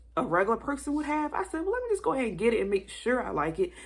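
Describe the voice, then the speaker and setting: A woman with vocal fry sounds animated, her pitch swinging very widely. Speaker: Bible journaling YouTuber. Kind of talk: casual vlog rant.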